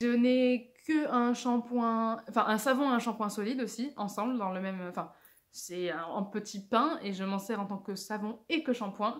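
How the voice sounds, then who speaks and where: This woman has a fairly high pitch with ordinary pitch variation. She speaks at a fairly slow pace. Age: 20s. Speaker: video blogger. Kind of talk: casual vlog. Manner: halting.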